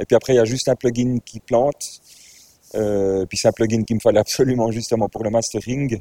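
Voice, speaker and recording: An unremarkable speaking voice at a fairly quick pace, fairly even in intonation, with dry, close sound and no echo. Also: man, medium pitch for a man. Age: 40s. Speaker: DJ and music composer. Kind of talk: casual interview.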